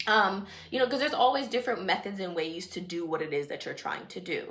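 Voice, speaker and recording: An animated woman with an American accent, medium pitch, lively intonation and a fairly quick pace. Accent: shifts into Jamaican dialect at times. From Washington DC area, Jamaican family. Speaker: vlogger, nail technician. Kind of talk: casual vlog chat.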